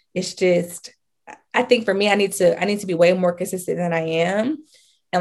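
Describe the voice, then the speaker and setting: A woman's medium-pitched voice with vocal fry, at a moderate pace, on a very clean recording with a silent background. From US South, Charlotte, North Carolina. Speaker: lifestyle and fashion content creator. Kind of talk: casual chat.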